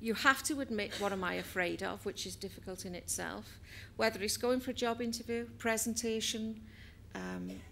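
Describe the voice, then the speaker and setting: The speaker has a Welsh accent. The pace is moderate. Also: woman. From Wales. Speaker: business trainer and HR professional. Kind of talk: inspirational talk.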